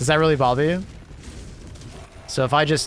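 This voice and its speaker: A man's animated, fairly quick speech with a non-native accent, over noticeable background noise. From Canada. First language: not English. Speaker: gaming streamer. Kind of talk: live gameplay stream chat. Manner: halting, trails off mid-sentence; casual, animated.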